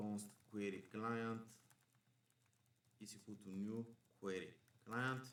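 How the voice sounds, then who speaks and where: A man's fairly low, monotone, flat voice at a very slow pace, with long, frequent pauses and audible room echo. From Bulgaria. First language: Bulgarian. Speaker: programming instructor. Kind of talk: coding tutorial. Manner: thinking aloud while live debugging.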